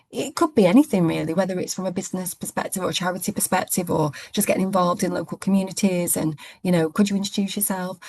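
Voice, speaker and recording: At a very fast pace, a woman speaks somewhat breathily at a medium pitch with ordinary pitch variation against a quiet background. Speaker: head of a legal department, coaching client. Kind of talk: interview.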